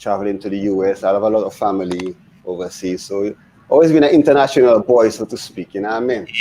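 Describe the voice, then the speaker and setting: A man's fairly low voice at a very fast pace, with ordinary pitch variation and noticeable background noise. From Dominica. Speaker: DJ and radio host. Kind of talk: interview.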